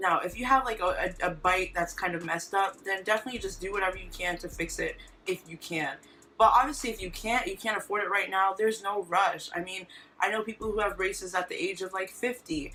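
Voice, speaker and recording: Very fast speech from a woman at a medium pitch, with ordinary pitch variation. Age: 20s. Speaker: vlogger. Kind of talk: casual vlog talk. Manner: chatty, fast.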